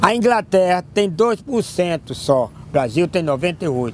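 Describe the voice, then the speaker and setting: A man talks at a fairly slow pace, his pitch swinging very widely. Noticeable background noise runs underneath. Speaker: political activist. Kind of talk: interview. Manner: animated.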